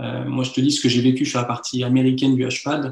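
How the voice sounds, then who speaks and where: A man with a medium pitch and a somewhat breathy voice talks at a moderate pace. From France, Lyon. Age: 30s. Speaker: magician. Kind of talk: interview. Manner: halting.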